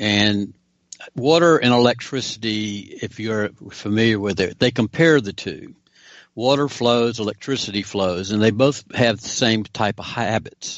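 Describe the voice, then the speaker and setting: A man speaks at medium pitch and a fairly slow pace, in a normal speaking voice. His pitch shows ordinary variation. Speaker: investigative reporter. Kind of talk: political discussion.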